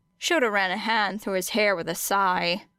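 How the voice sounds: At a fairly slow pace, a woman talks at a medium pitch in a clear, smooth and fairly bright tone.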